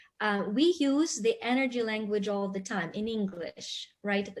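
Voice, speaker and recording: Her voice sits at a medium pitch for a woman and is somewhat breathy. The intonation is lively. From Ukraine. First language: Russian and Ukrainian. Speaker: panelist. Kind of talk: panel discussion.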